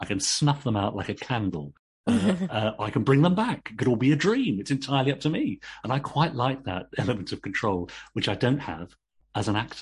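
With an English accent, a man talks at a fairly quick pace and medium pitch, his voice somewhat breathy. His pitch swings very widely over a quiet background. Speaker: actor and novelist. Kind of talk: interview.

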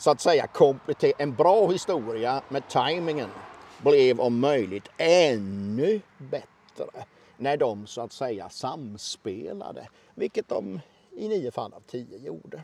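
At a very slow pace, a man talks in a fairly high pitch with very wide pitch swings and big swings in loudness. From Småland, near Oskarshamn, Sweden. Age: 50s. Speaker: storyteller and local heritage consultant. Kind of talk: storytelling interview. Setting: outdoors in a parking lot.

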